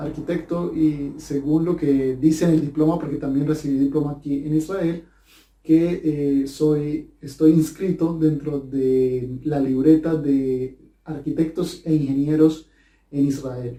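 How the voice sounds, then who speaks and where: His delivery is monotone and flat, with a dark, mellow tone at a fairly slow pace. The man's pitch sits fairly high. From Colombia, Cali. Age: 20s. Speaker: language teacher. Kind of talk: personal talk to camera. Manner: halting, many fillers.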